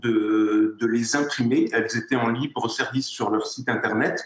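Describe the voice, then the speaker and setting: Noticeable background noise behind fairly slow talking. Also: man. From France, Moselle. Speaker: award-winning entrepreneur. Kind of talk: interview. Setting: in-person at online ceremony. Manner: hesitant, many repetitions.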